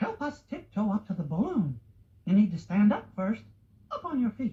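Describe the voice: A man puts on a cartoonish character voice, high in pitch with a husky, rough edge and big pitch swings. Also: moderate pace.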